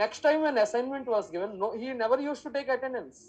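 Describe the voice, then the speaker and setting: A woman's fairly high, fairly quick voice with vocal fry, in an Indian accent. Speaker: math teacher. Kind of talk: lecture.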